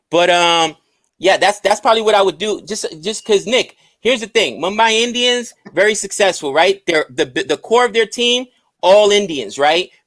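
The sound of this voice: This voice carries a New York accent. Its speed is moderate.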